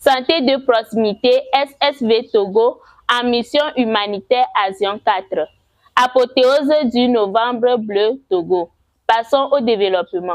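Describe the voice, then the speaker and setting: A woman talks in a high pitch at a very slow pace, her loudness very even and her pitch varying in an ordinary way. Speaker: web presenter and voice-over artist. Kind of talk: weekend news bulletin presenting.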